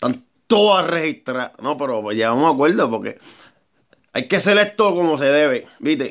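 Over a quiet background, the man uses lively intonation at a moderate pace. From Puerto Rico. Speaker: amateur songwriter and vlogger. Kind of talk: casual vlog monologue. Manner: rambling, repetitive and halting. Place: garage. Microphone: phone near.

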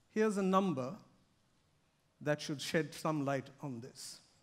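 Here a man speaks with lively intonation. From India. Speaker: corporate sustainability director; conference speaker. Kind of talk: keynote speech. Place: stage.

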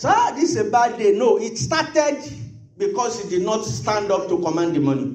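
The voice moves through very wide pitch swings over noticeable background noise. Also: man. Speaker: pastor. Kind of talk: sermon. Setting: church. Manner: fervent, rhythmic, repeating phrases; loud, urgent pleading in prayer.

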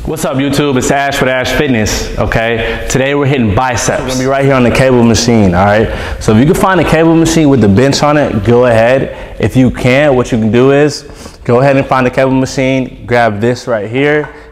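A man talks at a fairly quick pace with ordinary pitch variation. Audible room echo surrounds his voice. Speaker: fitness trainer. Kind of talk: tutorial. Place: gym.

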